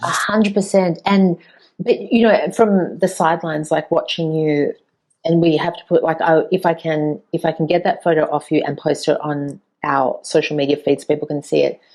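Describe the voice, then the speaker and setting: At a moderate pace, a woman with a plain, everyday voice speaks fairly low with ordinary pitch variation. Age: 40s. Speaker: podcast host. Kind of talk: interview conversation.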